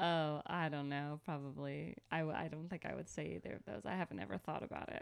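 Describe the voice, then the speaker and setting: The woman keeps a fairly quick pace. There are hardly any pauses. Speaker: podcast co-host, comedian. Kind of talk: casual chat. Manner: loud.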